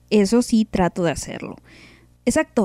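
This is a woman with a dark, mellow tone. The sound is dry and close, with no echo. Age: 30s. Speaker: podcast host. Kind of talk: casual chat. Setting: live stream.

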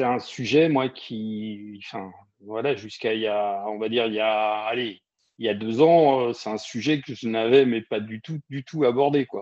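A man speaks at medium pitch with ordinary pitch variation. His pace is fairly slow. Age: 50s. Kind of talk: casual interview.

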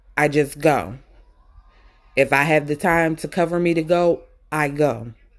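On a very clean recording with a silent background, a woman with an American accent speaks at a very deep, low pitch with fairly even intonation. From Baltimore, Maryland. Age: 30s. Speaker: podcast host. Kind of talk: personal monologue.

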